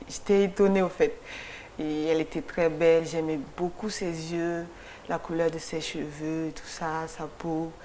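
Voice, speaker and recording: This woman speaks at a very slow pace in a fairly low pitch. Her intonation is monotone and flat. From Mali (Kati, near Bamako). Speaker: photographer. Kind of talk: TV interview. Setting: TV studio. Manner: halting, many repetitions.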